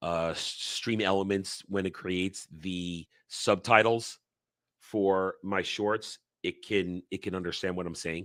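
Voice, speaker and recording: A man with a New York accent speaks at a very deep, low pitch in monotone, flat intonation. The recording is dry and close, with no echo. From New York tri-state area, US East Coast. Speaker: livestream commentator on pop culture. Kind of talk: casual live chat. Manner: can speak very quickly.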